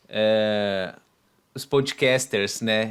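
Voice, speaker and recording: This man has a Brazilian accent and medium pitch. His intonation is fairly even. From Brazil, Volta Redonda, Rio de Janeiro state. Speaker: podcast host, guest. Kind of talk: interview. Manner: halting, many fillers.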